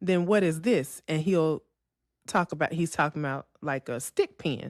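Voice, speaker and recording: In a Memphis accent, a woman with a very deep, low pitch speaks at a moderate pace with ordinary pitch variation, the sound dry and close with no echo on a very clean recording with a silent background. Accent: Southern US (Memphis), pin-pen merger. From US South, Memphis, Tennessee. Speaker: podcast co-host. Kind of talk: casual chat.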